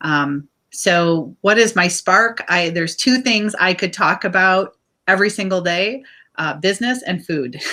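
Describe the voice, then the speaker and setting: Speaking loudly at a fairly slow pace with an American accent, a woman uses lively intonation and a bright, sharp tone, on a very clean recording with a silent background. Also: medium pitch for a woman. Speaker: business owner, cooking school founder. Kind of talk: interview.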